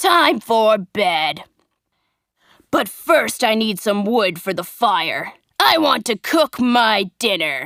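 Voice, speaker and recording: In a put-on character voice, a woman shouts and growls gruffly at a fairly high pitch and a very slow pace, on a very clean recording with a silent background. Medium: read story. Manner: shouting, gruff.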